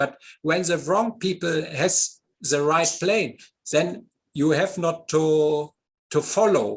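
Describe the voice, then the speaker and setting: A man's fairly high pitch with ordinary variation, at a fairly slow pace. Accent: German. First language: German. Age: 50s. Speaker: model glider pilot and designer. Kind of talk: interview. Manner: halting.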